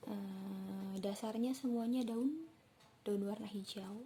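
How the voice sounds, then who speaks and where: Against noticeable background noise, a woman speaks at a fairly high pitch. Her pace is very slow and her intonation fairly even. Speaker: tarot reader. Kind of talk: tarot reading to camera. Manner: relaxed, casual.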